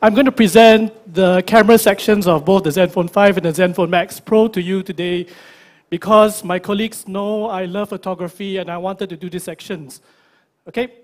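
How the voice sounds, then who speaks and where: A man with a Singaporean accent, high pitch, fairly quick pace, fairly even intonation, and big swings in loudness. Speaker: tech company product presenter. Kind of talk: product launch presentation. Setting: stage with audience at launch event.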